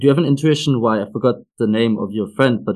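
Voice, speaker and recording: A man talks at a very fast pace with lively intonation. His pitch sits at a medium level. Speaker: podcast host. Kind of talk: interview, scripted intro.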